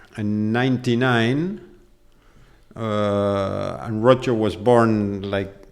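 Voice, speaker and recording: A man with a fairly low pitch and an Argentine accent, very slow, with long, frequent pauses and audible room echo. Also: ordinary pitch variation. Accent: Argentinian. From Argentina. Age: 60s. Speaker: polo club manager. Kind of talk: casual interview. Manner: halting, many fillers.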